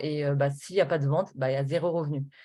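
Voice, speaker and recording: A woman at a very fast pace, with a dark, mellow tone and fairly even intonation, over a quiet background. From Normandy, France (Rouen). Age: 20s. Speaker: network marketing presenter. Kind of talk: sales pitch. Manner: hesitant, many fillers.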